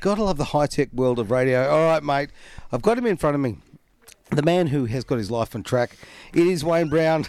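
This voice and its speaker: A man talks with lively intonation. His pace is fairly quick. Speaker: radio host. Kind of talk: radio interview. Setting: radio studio.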